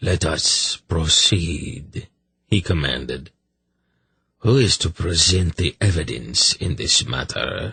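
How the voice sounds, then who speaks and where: Using a put-on character voice, a man speaks with a very deep, low pitch. His pitch swings very widely, and his pace is fairly slow. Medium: read story. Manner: cold.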